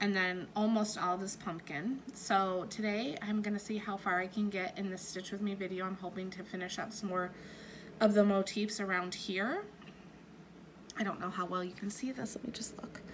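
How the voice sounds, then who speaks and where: A woman at medium pitch and moderate pace, with fairly even intonation and audible room echo. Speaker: cross-stitch YouTuber. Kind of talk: casual craft vlog. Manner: hesitant, many fillers.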